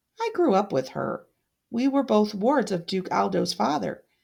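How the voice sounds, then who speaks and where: A woman's put-on character voice at a medium pitch, over a quiet background. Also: moderate pace. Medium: read story. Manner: warm, courteous.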